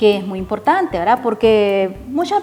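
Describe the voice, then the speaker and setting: Music plays in the background as a woman speaks with a Nicaraguan accent. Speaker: poet and reading promoter. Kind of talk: instructional talk to camera.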